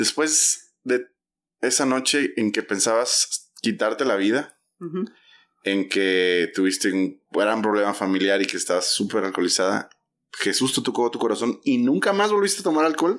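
A man with an unremarkable speaking voice, medium pitch and lively intonation at a moderate pace, on a very clean recording with a silent background. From Mexico, Oaxaca. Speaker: church podcast host. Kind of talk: casual interview.

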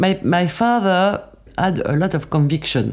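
This woman has a French accent and a fairly low pitch. Her intonation is lively. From France, Paris region. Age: 70s. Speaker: makeup artist. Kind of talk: testimony. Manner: halting.

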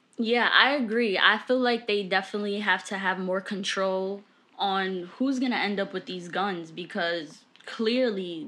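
A woman talks at a fairly slow pace in a normal speaking voice, her pitch medium. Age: 20s. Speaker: podcast co-host, college student. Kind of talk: casual chat.

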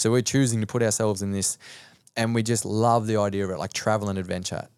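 Delivered in an Australian accent, the speech is monotone and flat at a very fast pace. The recording is very clean, with a silent background. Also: man. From Australia (rural New South Wales). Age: 30s. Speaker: mindset and performance coach. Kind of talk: casual interview chat.

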